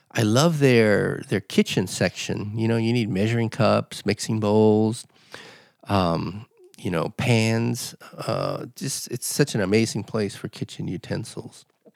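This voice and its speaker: In a General American accent, a man with an unremarkable speaking voice talks at medium pitch and a fairly slow pace, with ordinary pitch variation and a dry, close sound with no echo. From Los Angeles. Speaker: podcast host. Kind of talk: casual chat.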